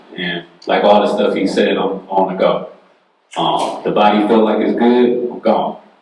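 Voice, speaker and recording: Amid audible room echo, a man with a fairly low pitch speaks at a fairly slow pace with fairly even intonation. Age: 30s. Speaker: panelist asking health questions. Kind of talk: casual question at town hall. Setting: town hall with audience.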